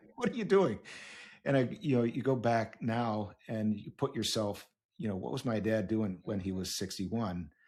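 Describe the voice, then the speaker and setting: At a moderate pace, a man talks in an ordinary speaking voice, his medium pitch showing ordinary pitch variation. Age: 60s. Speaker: podcast host. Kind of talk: podcast interview.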